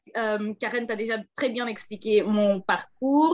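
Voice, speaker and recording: A woman with a Flemish accent at a fairly high pitch, very slow in pace, with fairly even intonation. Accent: Dutch-speaking (Flemish) accent in French. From Belgium, Antwerp (Flemish). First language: Dutch (speaking French). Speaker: political advisor and former journalist. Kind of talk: panel talk. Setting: video call.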